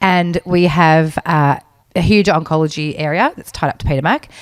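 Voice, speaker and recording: A woman with an Australian accent speaks at a moderate pace in a very deep, low voice, recorded dry and close with no echo. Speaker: podcast co-host. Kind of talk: casual chat.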